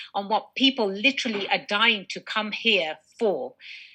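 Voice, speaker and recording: With an English accent, a woman speaks at a moderate pace in a fairly high pitch. Her tone is animated. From England. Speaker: business attorney. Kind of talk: interview.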